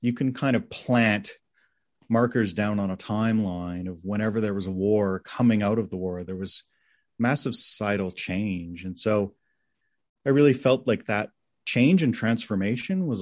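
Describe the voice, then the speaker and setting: In a plain, everyday voice, a man with a fairly low pitch and ordinary pitch variation shows big swings in loudness over a quiet background. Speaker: film director. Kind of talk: interview. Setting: video call.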